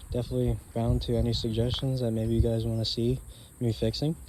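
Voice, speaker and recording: A man speaks at a moderate pace. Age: young. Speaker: car owner vlogger. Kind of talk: casual walkaround video. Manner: halting, many fillers.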